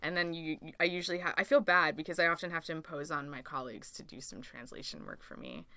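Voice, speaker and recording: A woman with a Canadian accent talks at a very fast pace, hardly pausing, in a fairly low voice with vocal fry and a bright, sharp tone. Her pitch varies an ordinary amount, and the recording is very clean with a silent background. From Canada. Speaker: Canadian working abroad in India. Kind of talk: casual chat.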